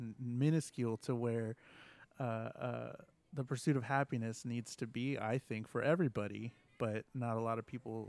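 Dry and close with no echo, a man speaks at a moderate pace and medium pitch. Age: 20s. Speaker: podcaster. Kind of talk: casual chat. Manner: halting.

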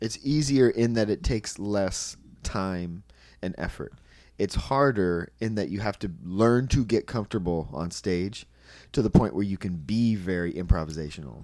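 In a normal speaking voice with lively intonation, someone talks at a moderate pace on a very clean recording with a silent background. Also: man, fairly low pitch for a man. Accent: American. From Southern California, Anaheim. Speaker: stand-up comedian. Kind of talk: casual chat.

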